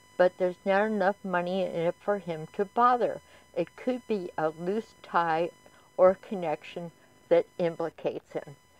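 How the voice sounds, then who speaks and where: At a fairly slow pace, a woman speaks at medium pitch with fairly even intonation, the sound dry and close with no echo and music playing in the background. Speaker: astrologer and psychic YouTuber. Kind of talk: solo commentary to camera. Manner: halting, with repetitions and fillers.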